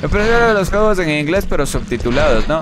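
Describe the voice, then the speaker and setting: A man's fairly quick speech comes through noticeable background noise. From Ecuador (Quito); Ecuador. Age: 30s. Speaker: gaming streamer. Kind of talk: live gameplay stream with chat reading. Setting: live stream. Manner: casual, thinking aloud. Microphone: headset.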